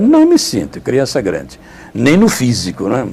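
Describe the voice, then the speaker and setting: Amid noticeable background noise, a man keeps to a moderate speed. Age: 70s. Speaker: friar and retreat preacher. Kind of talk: interview testimony.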